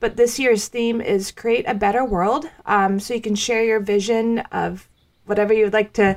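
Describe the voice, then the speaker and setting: A woman's normal speaking voice, fairly high in pitch, with ordinary pitch variation at a moderate pace. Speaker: co-host. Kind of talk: casual chat.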